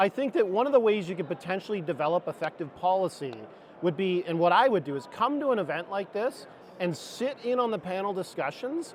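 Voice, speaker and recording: This man talks at a fairly quick pace in a high voice, his intonation lively. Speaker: HVAC industry panelist. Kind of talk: panel discussion. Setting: trade show floor panel, miked up.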